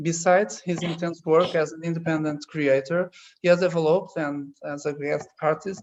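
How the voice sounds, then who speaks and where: The pace stays moderate. Speech comes in a Portuguese accent. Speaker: architecture teacher moderating a talk. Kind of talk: formal introduction of guests.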